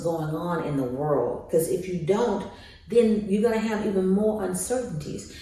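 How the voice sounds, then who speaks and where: A woman speaks with very wide pitch swings. Audible room echo and noticeable background noise fill the recording. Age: 60s. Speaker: life coach. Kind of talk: motivational monologue. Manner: conversational, repetitive.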